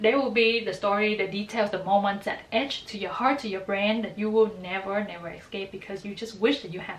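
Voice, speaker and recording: A woman's medium-pitched voice, warm and enthusiastic in tone, fairly quick with hardly any pauses, big swings in loudness, and noticeable background noise. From Vietnam. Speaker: graduate student, book and fanfiction reviewer. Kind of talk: casual talk to camera. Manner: warm, enthusiastic.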